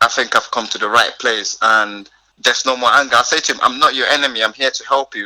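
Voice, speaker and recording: A man is speaking. He has a slight non-native accent. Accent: barely noticeable foreign. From northern Nigeria. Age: 20s. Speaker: youth charity founder. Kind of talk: podcast interview. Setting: remote call. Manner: halting.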